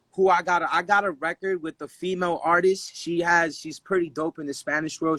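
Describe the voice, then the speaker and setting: A man with a Dominican accent and a fairly high pitch, at a moderate pace in a dry, close sound with no echo. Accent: Dominican-tinged. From Dominican heritage, US. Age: 20s. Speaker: rapper. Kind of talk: casual interview.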